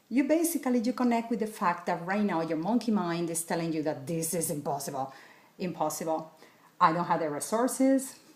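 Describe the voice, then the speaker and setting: A woman's fairly low voice, fairly quick and lively in intonation, with a Spanish accent. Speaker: wellness coach. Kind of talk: tutorial.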